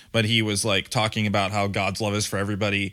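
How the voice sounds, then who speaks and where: A man with an American accent, fairly low in pitch, at a fairly quick pace. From Michigan, Grand Rapids. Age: 30s. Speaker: podcast co-host and metal musician. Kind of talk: casual chat.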